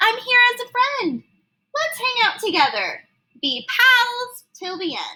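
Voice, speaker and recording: A woman's squeaky, put-on character voice, extremely high in pitch, at a fairly slow pace. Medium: read story. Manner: timid, hesitant.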